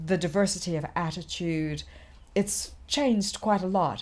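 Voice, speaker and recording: Heard on a very clean recording with a silent background, a woman talks at a moderate pace. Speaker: civic leader telling her life story. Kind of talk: interview testimony. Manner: hesitant with frequent fillers.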